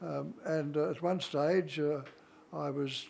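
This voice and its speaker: A man with an Australian accent, very slow in pace, with ordinary pitch variation. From Australia, Darwin. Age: 90s. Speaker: war veteran. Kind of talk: interview. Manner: halting, many fillers.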